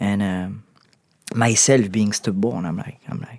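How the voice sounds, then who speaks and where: This man speaks with a French accent at a moderate pace. His intonation is lively. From southern France. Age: 30s. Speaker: actor. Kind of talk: interview. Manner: halting, many repetitions.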